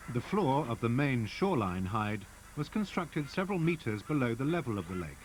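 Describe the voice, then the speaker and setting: A man speaks at a fairly quick pace in a somewhat breathy voice, his pitch swinging very widely. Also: medium pitch for a man. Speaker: documentary narrator. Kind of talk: nature documentary narration.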